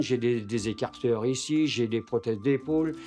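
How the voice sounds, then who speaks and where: A man speaks at a fairly slow pace and medium pitch, with ordinary pitch variation over noticeable background noise. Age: 70s. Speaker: retired woodturner. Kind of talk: documentary interview. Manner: halting, many hesitations and repetitions.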